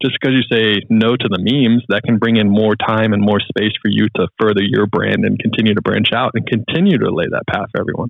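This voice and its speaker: A man with a fairly low pitch speaks at a fairly quick pace, with hardly any pauses. His intonation is fairly even and his loudness very even. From US South, Charlotte, North Carolina. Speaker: pilot and podcast host. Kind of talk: casual chat. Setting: call.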